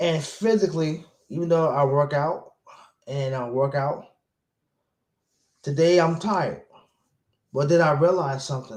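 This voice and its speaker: Pausing long and often, a man speaks at a moderate pace and a fairly high pitch with ordinary pitch variation. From Brooklyn, New York. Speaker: motivational speaker. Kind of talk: personal vlog monologue. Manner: repetitive, halting.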